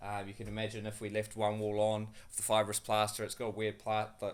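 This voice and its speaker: The speaker talks with a New Zealand accent at a moderate pace. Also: man. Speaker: builder. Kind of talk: casual vlog. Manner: halting, many fillers.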